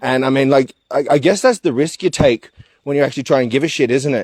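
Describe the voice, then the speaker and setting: A man with an Australian accent speaks very fast in a fairly high voice with a dark, mellow tone, the sound dry and close with no echo. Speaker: activist. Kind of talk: casual chat. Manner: loud; halting.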